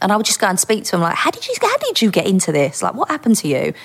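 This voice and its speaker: Speaking in a Cockney accent, a woman talks with a fairly high pitch. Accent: London (Essex-edge Cockney). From East London. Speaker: former undercover police officer. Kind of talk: casual interview. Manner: nervous.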